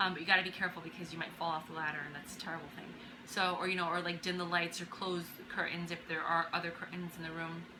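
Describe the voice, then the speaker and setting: Very fast speech comes from a woman with fairly low pitch, over noticeable background noise and audible room echo. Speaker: DIY handyperson vlogger. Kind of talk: tutorial. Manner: casual, with many fillers.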